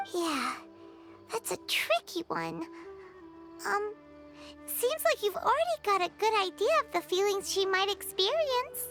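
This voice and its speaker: In a put-on character voice at an extremely high pitch, the speaker moves at a fairly slow pace with long, frequent pauses, while clear music plays in the background. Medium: video game. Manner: reassuring, casual.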